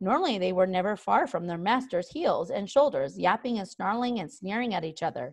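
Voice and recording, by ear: The passage is read aloud in a natural voice whose intonation stays lively.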